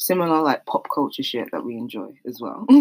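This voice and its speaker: Speaking at a moderate pace, a woman swings her pitch very widely. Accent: South London. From South East London. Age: 20s. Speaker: podcast co-host. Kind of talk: casual chat.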